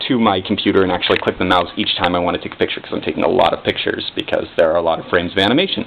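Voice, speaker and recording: Noticeable background noise fills the clip. Through it, a man talks. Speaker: indie game developer. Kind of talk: casual talk to camera. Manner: awkward, halting, stuttery.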